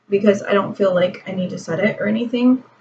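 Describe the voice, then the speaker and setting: Soft-spoken, a woman with a fairly high pitch talks with ordinary pitch variation. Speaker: beauty vlogger. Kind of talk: makeup tutorial. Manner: casual, rambling with fillers.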